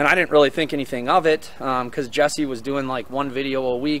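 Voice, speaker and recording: A man talking at a very fast pace with fairly even intonation, over light background noise. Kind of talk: casual vlog commentary. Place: open country. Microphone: phone near.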